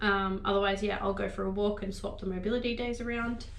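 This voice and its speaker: A woman with an Australian accent is heard amid noticeable background noise and audible room echo. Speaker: vlogger. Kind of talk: casual vlog talk. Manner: fast; animated.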